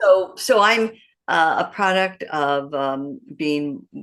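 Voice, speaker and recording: In a Midwestern accent, a woman speaks with a very deep, low voice over a quiet background. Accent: American, Midwestern. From US Midwest, Detroit, Michigan. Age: 60s. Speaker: matchmaker. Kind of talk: interview. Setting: podcast interview.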